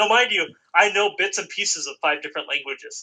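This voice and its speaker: The man speaks at a moderate pace. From US, mixed family with Southern roots. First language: Spanish. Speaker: podcast co-host. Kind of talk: casual chat.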